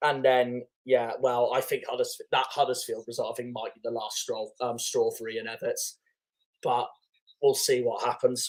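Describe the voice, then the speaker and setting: A man with a West Country accent speaks at a moderate pace. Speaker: football fan streamer. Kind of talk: live football watchalong commentary. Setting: live stream.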